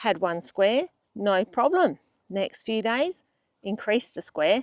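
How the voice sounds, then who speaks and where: A woman with an Australian accent talks at a very slow pace. Her fairly high voice makes very wide pitch swings. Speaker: travel vlogger. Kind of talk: casual vlog chat. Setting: outdoors. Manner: animated.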